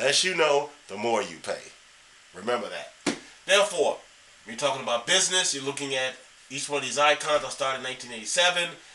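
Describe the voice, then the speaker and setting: A man speaks at a very fast pace and a fairly high pitch with lively intonation. Noticeable background noise is present. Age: 60s. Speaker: real estate investor. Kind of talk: tutorial. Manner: casual.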